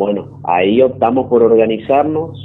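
Very slowly, a man speaks at a medium pitch with ordinary pitch variation. Noticeable background noise can be heard. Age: 20s. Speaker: story-telling caller. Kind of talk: personal testimony. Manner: halting.

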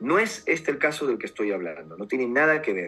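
Vocal fry runs through a man's medium-pitched voice as he speaks at a moderate pace with very wide pitch swings. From Peru, Lima. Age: 40s. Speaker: UFO contactee and author. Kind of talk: interview testimony.

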